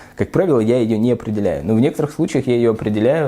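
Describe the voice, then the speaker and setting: With a dark, mellow tone, this man's voice sits at a medium pitch. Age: 30s. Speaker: human rights lawyer. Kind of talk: interview monologue. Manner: halting, many filler sounds.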